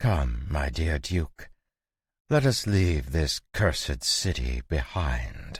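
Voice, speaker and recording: A man's very deep, low voice in a put-on character act, very slow in pace, with lively intonation. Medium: read story. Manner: mocking, imperious.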